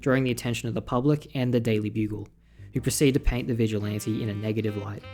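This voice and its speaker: Music plays in the background as a man with a fairly low pitch talks at a very fast pace, his pitch varying in an ordinary way. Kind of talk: comic recap commentary. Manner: casual, irreverent.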